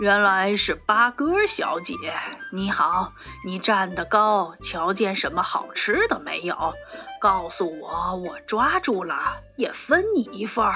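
Over clear background music, a woman in a put-on character voice sounds gruff at medium pitch and a fairly slow pace.

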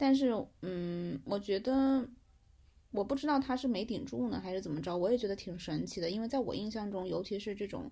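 A woman's dark, mellow voice at medium pitch, fairly quick and lively in intonation, over a quiet background. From Hunan, China. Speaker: friend of the host, former student abroad. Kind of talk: casual chat. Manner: animated.

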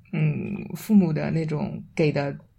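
This woman's voice is somewhat breathy. Its tone is dark and mellow. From Shanghai. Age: 20s. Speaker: podcast guest. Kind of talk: casual chat.

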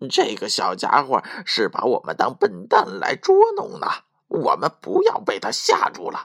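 A put-on character voice with very wide pitch swings, vocal fry and a moderate pace

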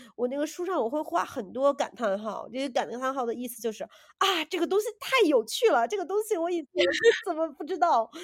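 Her voice high, a woman talks fairly quickly with very wide pitch swings and big swings in loudness. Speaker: podcast co-host. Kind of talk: casual chat.

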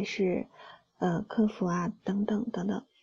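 A woman speaks at a fairly slow pace against a quiet background, her medium-pitched voice somewhat breathy, gentle and dark, mellow in tone. Her intonation stays monotone and flat. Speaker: solo podcast host. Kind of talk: late-night monologue. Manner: soft-spoken, gentle.

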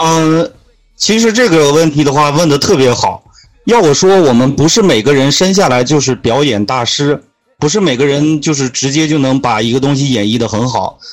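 A man with an unremarkable speaking voice talks at a moderate pace, his fairly high pitch carrying lively intonation. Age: 20s. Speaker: podcaster and guest mentor. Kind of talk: casual interview. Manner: explanatory, lecturing.

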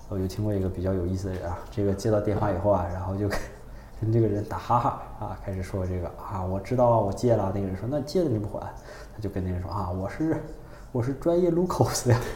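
A man with a fairly low pitch talks at a very fast pace, using ordinary pitch variation. The room echoes audibly and there is noticeable background noise. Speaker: podcast co-host. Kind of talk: casual chat.

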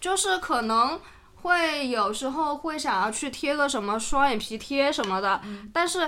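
A woman uses a raised, projected voice with a high pitch and very wide pitch swings. Her pace is fairly slow. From Sichuan, China (Guangyuan, then Suining, Dazhou, Mianyang). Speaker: podcast guest, friend of host. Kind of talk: casual chat.

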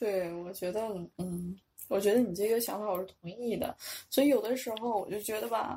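A woman with a fairly high pitch and a dark, mellow tone speaks at a fairly quick pace. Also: ordinary pitch variation. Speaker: Chinese language teacher with pharmacy and medical degrees. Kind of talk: casual interview chat.

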